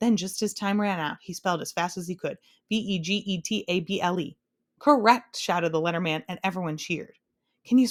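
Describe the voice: Ordinary pitch variation in plain reading aloud, against a quiet background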